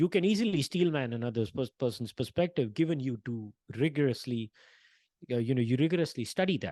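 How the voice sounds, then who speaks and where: A man's dark, mellow voice at medium pitch with an Indian accent, lively intonation, a fairly quick pace and a quiet background. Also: dry, close sound with no echo. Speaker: panel discussion host. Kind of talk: podcast interview. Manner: halting, repeats words.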